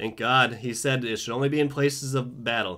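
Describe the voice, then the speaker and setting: Against a quiet background, a man with an American accent talks at a moderate pace with fairly even intonation. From US. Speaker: video blogger. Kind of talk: angry political rant, sarcastic and fired up. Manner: sarcastic; impassioned, emphatic. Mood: sarcastic, indignant. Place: home room. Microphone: webcam.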